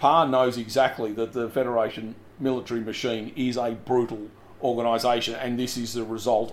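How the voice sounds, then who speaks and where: A man talks with an Australian accent. His intonation is monotone and flat. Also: medium pitch for a man, fairly quick pace. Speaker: podcast co-host. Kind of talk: casual chat.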